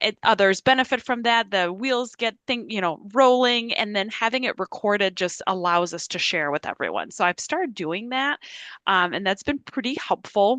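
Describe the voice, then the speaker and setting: A woman with a Quebec accent and a bright, sharp tone at a fairly high pitch and moderate pace, dry and close with no echo against a quiet background. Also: lively intonation. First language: French. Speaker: university professor. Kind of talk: informal office hours talk. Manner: casual with many fillers.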